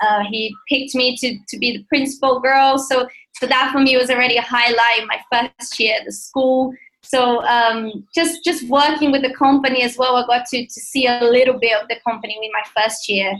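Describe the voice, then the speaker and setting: At a moderate pace, a woman with a Brazilian accent speaks in a high pitch with fairly even intonation. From Brazil, Rio de Janeiro. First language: Portuguese. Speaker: ballet dancer. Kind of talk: interview. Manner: halting, frequent repetitions and fillers.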